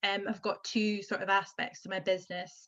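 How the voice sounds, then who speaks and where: A woman's bright, sharp tone comes through over a quiet background. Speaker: vintage fur upcycling business owner. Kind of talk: panel discussion. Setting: video call.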